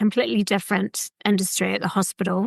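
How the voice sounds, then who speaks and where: Recorded with a dry, close sound and no echo, a woman speaks at a medium pitch and a moderate pace. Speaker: glass artist; mother. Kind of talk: interview answer. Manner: exuberant storyteller.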